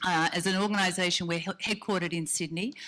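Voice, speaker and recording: A woman with an Australian accent speaks at a fairly quick pace. Her tone is bright and sharp, her pitch fairly low. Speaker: business development executive. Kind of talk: conference presentation.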